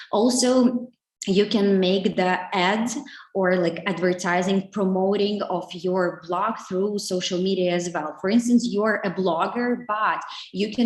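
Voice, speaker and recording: A woman speaks very slowly at a medium pitch in a Ukrainian accent. Noticeable background noise runs behind her. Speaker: digital marketing specialist. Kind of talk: webinar talk. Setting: online webinar. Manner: halting, many fillers.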